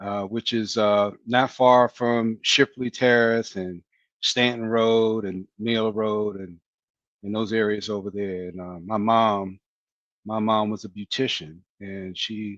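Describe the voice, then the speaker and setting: A man's fairly low, monotone voice with flat intonation, at a very slow pace, with big swings in loudness against a quiet background. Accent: American. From Washington, D.C. (Southeast). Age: 60s. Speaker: retired fire battalion chief. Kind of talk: podcast interview.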